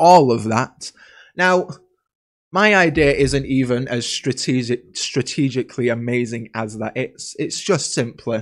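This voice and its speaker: The recording is very clean, with a silent background. A man speaks at medium pitch with lively intonation. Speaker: podcast host. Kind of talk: casual chat podcast. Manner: casual, chatty, jokey.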